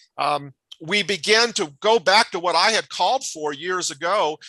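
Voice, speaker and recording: Raised and projected, a man's high-pitched voice has a bright, sharp tone in a dry, close sound with no echo. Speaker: professor, crisis communication scholar. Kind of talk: conference talk. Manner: fast; hesitant, many fillers.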